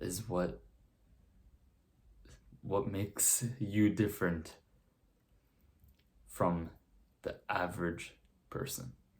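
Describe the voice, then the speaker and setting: Speaking at a very slow pace with long, frequent pauses, a man uses a fairly low, somewhat breathy voice with ordinary pitch variation. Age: young. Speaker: self-improvement content creator. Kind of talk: motivational talk to camera.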